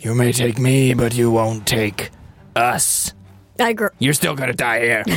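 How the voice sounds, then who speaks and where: Using a put-on, growling character voice at a medium pitch, a man talks at a fairly slow pace with long, frequent pauses as faint music plays in the background. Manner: menacing, growling.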